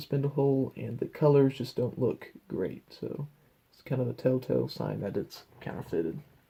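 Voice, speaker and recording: At a moderate pace, a man with a somewhat breathy voice, medium pitch and dark, mellow tone speaks. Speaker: vinyl record collector. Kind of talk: casual show-and-tell video.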